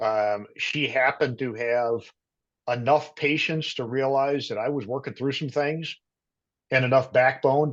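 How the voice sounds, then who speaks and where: At a moderate pace, a man with an American accent speaks in an unremarkable speaking voice at medium pitch, his intonation fairly even against a quiet background. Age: 50s. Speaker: career transition coach. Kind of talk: casual interview. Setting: podcast.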